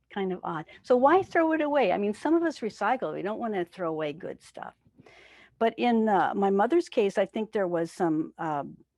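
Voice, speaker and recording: A woman with an American accent speaks at a moderate pace and a medium pitch, her voice swinging very widely up and down. The sound is dry and close with no echo, and the background is quiet. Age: 60s. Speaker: spiritual teacher. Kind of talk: sermon. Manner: conversational.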